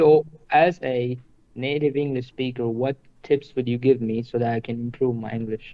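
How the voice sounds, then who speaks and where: In an Indian accent, a man speaks with fairly even intonation. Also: medium pitch for a man, moderate pace. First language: Hindi. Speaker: stranger from online chat. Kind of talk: casual chat.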